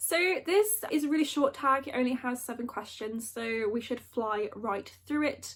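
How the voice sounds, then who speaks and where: Her intonation is lively. This woman speaks at a high pitch. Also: moderate pace. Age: 20s. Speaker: book YouTuber and trainee librarian. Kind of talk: casual vlog chat.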